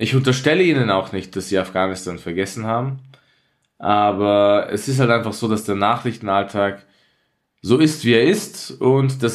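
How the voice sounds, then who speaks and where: The man's pitch is medium, with ordinary variation. He uses a normal speaking voice and keeps a moderate pace. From Austria, Tyrol (Innsbruck). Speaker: journalist and war reporter. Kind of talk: conversational podcast discussion.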